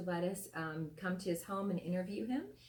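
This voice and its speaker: In an unremarkable speaking voice, a woman talks at a medium pitch, its variation ordinary. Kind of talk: interviewer.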